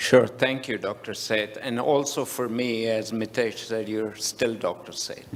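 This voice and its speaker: A man speaks at a medium pitch and a fairly slow pace, in a flat monotone. Noticeable background noise sits behind him. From India, Mumbai. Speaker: business executive. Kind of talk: panel conversation.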